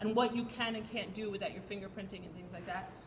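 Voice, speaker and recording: There is noticeable background noise and audible room echo. A woman speaks at a very fast pace with ordinary pitch variation. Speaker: PTA meeting leader. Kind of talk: community meeting talk. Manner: loud.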